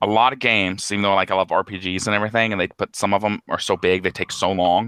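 With a bright, sharp tone and a fairly low pitch, a man talks at a fairly quick pace with fairly even intonation, and the sound is dry and close with no echo, on a very clean recording with a silent background. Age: 30s. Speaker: fiction editor and anthologist. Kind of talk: casual interview chat. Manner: halting, with many fillers.

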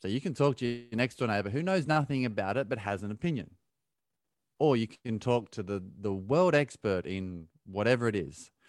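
Lively intonation marks this man's voice, which sits at a medium pitch with an Australian accent. He keeps a moderate pace in a very clean recording with a silent background. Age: 30s. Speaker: ultra-endurance athlete. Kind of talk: casual chat.

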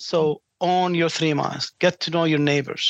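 Someone speaks with an Arabic accent against a quiet background. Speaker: franchising executive. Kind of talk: interview.

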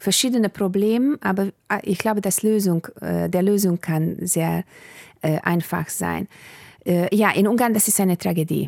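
A woman with a Bulgarian accent, medium pitch and ordinary pitch variation, at a fairly slow pace and very even loudness, in a dry, close sound with no echo. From Hungary. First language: Bulgarian (speaking German). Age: 40s. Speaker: politician. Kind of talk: interview.

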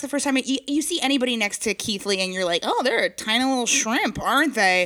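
An animated woman with an American accent speaks at a high pitch, her tone bright and sharp, her intonation lively. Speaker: comedy podcast co-host. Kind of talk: casual chat. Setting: house basement.

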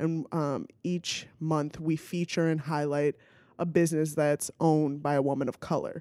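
Very deep and low in pitch, a woman's dark, mellow voice keeps a moderate pace and fairly even intonation, captured in a very clean recording with a silent background and a dry, close sound without echo. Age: 30s. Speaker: actress and stand-up comedian. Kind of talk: casual chat.

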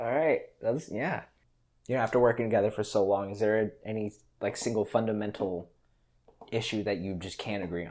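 On a very clean recording with a silent background, a man speaks in an ordinary speaking voice with fairly low pitch. His pace is moderate and his pitch variation ordinary. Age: 19. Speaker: podcast host. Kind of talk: casual interview; scripted outro.

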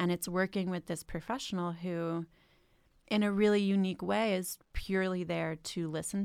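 A woman talks in a plain, everyday voice at a medium pitch and a moderate pace. Her intonation is fairly even, and the recording is very clean with a silent background. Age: 20s. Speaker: social worker and startup founder. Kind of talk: casual chat.

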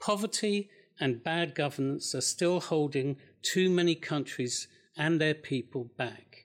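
In a very clean recording with a silent background, a man with a normal speaking voice and a fairly high pitch talks at a fairly slow pace. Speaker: politician. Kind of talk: panel debate.

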